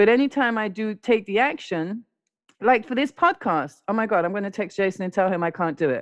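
A woman with a London accent, very fast pace, medium pitch and lively intonation against a quiet background. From London, England (born in South America). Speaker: recovering addict sharing her story. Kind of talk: testimony. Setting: podcast recording.

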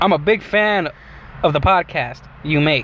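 A man's high-pitched voice with ordinary pitch variation, over noticeable background noise. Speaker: podcast host. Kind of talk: casual chat. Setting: in a car. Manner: joking, animated.

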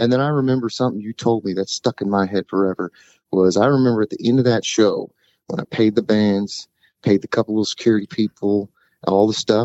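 At a fairly quick pace, a man with an unremarkable speaking voice talks in a fairly low pitch with ordinary pitch variation. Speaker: singer-songwriter. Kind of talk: casual interview chat.

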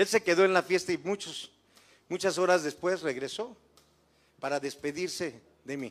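Recorded very cleanly against a silent background, a man speaks at a high pitch and a fairly slow pace. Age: 60s. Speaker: guest preacher. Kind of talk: sermon; testimony. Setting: church.

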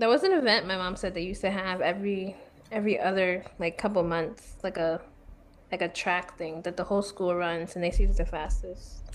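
A plain, everyday voice: a woman at medium pitch with an American accent, fairly quick pace and fairly even intonation. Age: 20s. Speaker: podcast co-host. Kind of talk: casual chat.

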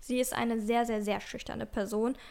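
A woman is speaking. Her pitch is high. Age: 20s. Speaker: podcast co-host. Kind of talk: casual chat.

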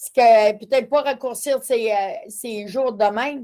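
On a very clean recording with a silent background, a woman speaks in a fairly high pitch. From Quebec, Matapédia Valley. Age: 50s. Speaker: person living with multiple sclerosis. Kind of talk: casual interview.

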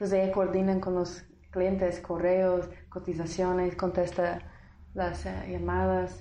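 A woman with an American accent talks at a very slow pace with very even loudness. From US South, Tennessee. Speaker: lawyer and entrepreneur working in Guatemala. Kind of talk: casual interview, storytelling.

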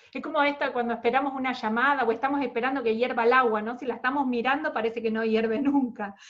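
This is a woman speaking. Her pitch is high. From Argentina. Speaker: podcast host. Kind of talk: interview.

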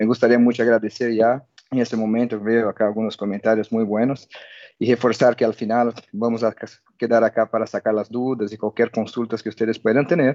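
Medium in pitch, this man speaks at a fairly quick pace in a dark, mellow tone. His intonation is monotone and flat. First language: Portuguese (speaking Spanish). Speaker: telecom technical expert. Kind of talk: technical webinar presentation.

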